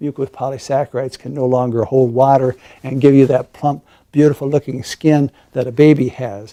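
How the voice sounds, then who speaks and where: On a very clean recording with a silent background, a man speaks in a flat monotone at a medium pitch, his tone dark and mellow. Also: dry, close sound with no echo. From US Midwest, Iowa. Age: 70s. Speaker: physician. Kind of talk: interview. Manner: hesitant, many fillers.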